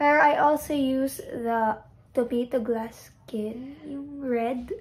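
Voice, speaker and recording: Her voice is high, and her loudness swings widely. The woman speaks very slowly with ordinary pitch variation. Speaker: beauty vlogger. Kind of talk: casual vlog tutorial.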